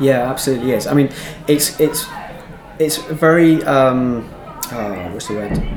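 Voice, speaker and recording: A man's medium-pitched voice at a fairly slow pace, with ordinary pitch variation and long, frequent pauses, amid noticeable background noise and audible room echo. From Devon, England. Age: 30s. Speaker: LGBT police liaison officer. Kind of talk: casual interview conversation. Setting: theatre green room. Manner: hesitant, many fillers.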